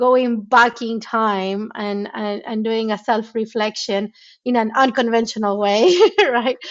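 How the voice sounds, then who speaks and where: The woman's voice is fairly high in pitch. She talks at a fairly slow pace. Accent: Spanish. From Argentina. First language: Spanish. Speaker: tech founder and CEO. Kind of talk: interview. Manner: repetitive, stammering restarts.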